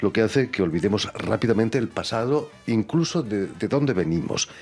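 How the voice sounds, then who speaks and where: A man at a medium pitch with lively intonation, very even loudness and a moderate pace, music in the background. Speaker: radio host. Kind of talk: radio show introduction.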